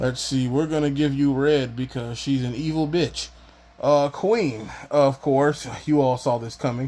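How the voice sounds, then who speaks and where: Fairly high in pitch yet dark and mellow in tone, a man's voice moves at a fairly slow pace with fairly even intonation. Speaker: YouTuber. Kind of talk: casual vlog monologue.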